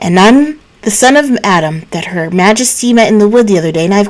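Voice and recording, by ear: Lively intonation runs through this reading aloud in a natural voice.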